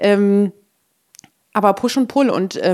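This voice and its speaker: This is a woman speaking at a medium pitch. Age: 30s. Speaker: mobility researcher. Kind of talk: interview. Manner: animated.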